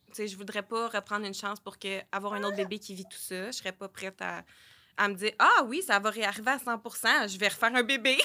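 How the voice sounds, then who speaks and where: A bright, sharp tone in a Quebec accent, fairly quick and fairly even in intonation, with big swings in loudness on a very clean recording with a silent background. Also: woman, medium pitch for a woman. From Quebec, Sherbrooke. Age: 20s. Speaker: early childhood educator and mother. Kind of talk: personal testimony in casual interview. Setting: studio.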